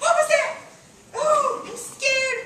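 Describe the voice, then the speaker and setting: A woman's squeaky put-on character voice at an extremely high pitch. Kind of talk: comic overacting. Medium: stage play.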